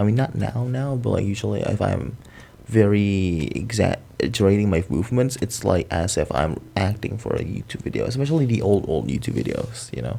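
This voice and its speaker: A man with an American accent speaks at a fairly low pitch in a dark, mellow tone. His intonation is lively, with vocal fry. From Indonesia. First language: Indonesian. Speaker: content creator. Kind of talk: casual chat.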